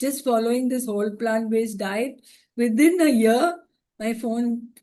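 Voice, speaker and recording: Her voice is fairly high-pitched with a dark, mellow tone, and the woman speaks at a fairly slow pace with ordinary pitch variation. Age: 60s. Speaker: cancer survivor and mother. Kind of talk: panel discussion, personal testimony.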